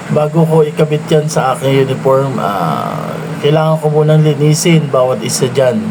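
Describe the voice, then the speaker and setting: Background noise is noticeable as a man speaks at a fairly slow pace. His voice is fairly high, with fairly even intonation. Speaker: security guard vlogger. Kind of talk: vlog narration.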